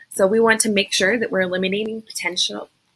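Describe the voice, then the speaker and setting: Bright and sharp in tone, a woman speaks at a medium pitch with ordinary pitch variation. Her pace is very fast. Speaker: school behavior interventionist. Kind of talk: recorded training presentation.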